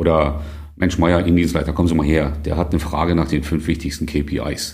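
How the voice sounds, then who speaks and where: Speaking at a moderate pace, a man with a very deep, low pitch and a dark, mellow tone sounds somewhat breathy, his intonation fairly even amid audible room echo. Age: 50s. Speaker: interim manager and author. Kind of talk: interview. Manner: casual, conversational.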